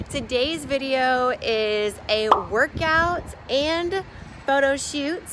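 Noticeable background noise runs beneath a woman's high-pitched voice. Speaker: fitness vlogger. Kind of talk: casual vlog chat. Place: street. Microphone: phone near.

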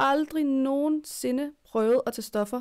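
A woman with ordinary pitch variation against a quiet background. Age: 20s. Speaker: podcast co-host. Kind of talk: casual chat. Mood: earnest, personal. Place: home room. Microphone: studio mic.

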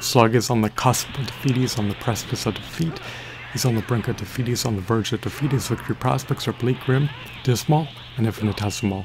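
This man talks at a very fast pace with ordinary pitch variation. There is noticeable background noise. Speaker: gaming commentator. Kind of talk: live game commentary, scripted-sounding play by play. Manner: animated, theatrical, rattling off strings of synonyms; excitable, dramatic hype. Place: home room.

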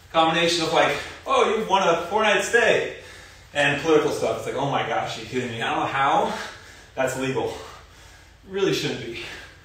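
Strong room echo surrounds a man speaking at a high pitch. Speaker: fitness instructor. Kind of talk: workout instruction and casual chat. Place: garage. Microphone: camera far.

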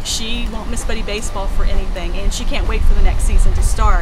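Music plays in the background as a woman talks at a very fast pace. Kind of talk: interview answer. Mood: warm, enthusiastic. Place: open country.

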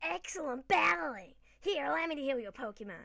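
At a fairly quick pace, a woman performs a put-on character voice pitched high, with very wide pitch swings. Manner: cheerful, polite.

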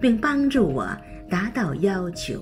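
A woman talks at a very slow pace with lively intonation. Music plays in the background. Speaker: devotional reader. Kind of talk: devotional scripture reading.

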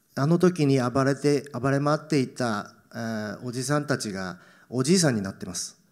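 With an unremarkable speaking voice, a man talks at a moderate pace in a fairly high pitch, his intonation lively against a quiet background. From Tokyo, Japan. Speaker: actor. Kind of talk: Q&A after a film screening; interview answer. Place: stage. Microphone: handheld.

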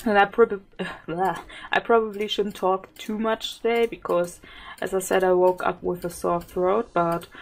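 Using a plain, everyday voice, a woman speaks at a fairly slow pace and medium pitch with fairly even intonation. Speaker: gaming YouTuber. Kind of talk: gameplay commentary. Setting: home recording at PC. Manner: giggly.

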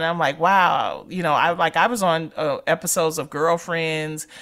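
A woman's fairly low voice, an unremarkable speaking voice, fairly slow, with ordinary pitch variation, in a very clean recording over a silent background. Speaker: radio host. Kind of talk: casual chat.

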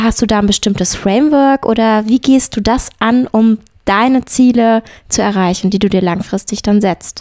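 An ordinary speaking voice moves at a moderate pace with ordinary pitch variation, in a dry, close sound with no echo. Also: woman. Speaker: podcast host. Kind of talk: interview.

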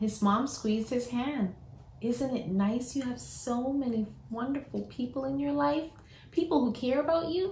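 The audible echo of a room hangs around the speech. A woman talks fairly slowly. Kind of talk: storybook read-aloud. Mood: warm, animated, smiling. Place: home room. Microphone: phone near.

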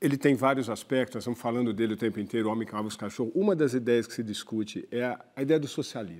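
A man speaks at a very fast pace with ordinary pitch variation and big swings in loudness. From Brazil. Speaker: magazine columnist; journalist interviewer. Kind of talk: TV interview questions. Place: studio. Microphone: lapel.

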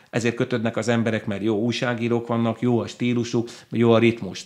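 The man's delivery moves along at a fairly quick pace. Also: quiet background. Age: 50s. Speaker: book club owner, former ship captain; interview guest. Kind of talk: interview. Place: studio. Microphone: studio mic.

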